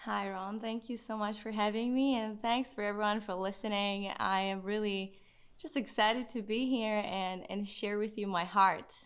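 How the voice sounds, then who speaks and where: Fairly high pitch from a woman, at a moderate pace and with fairly even intonation. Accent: Czech. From Czech Republic. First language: Czech. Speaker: certified coach and ministry co-founder. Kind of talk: podcast interview. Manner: halting, with many restarts.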